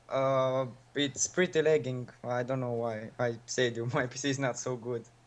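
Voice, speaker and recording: Speaking in a Romanian accent, a man keeps a moderate pace at a medium pitch with fairly even intonation. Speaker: coaching student, gamer. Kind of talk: coaching session. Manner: halting.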